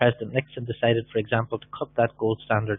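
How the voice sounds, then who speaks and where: Very fast speech from a man with an Irish accent. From Ireland. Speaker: business opportunity presenter. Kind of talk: webinar sales presentation. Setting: live webinar.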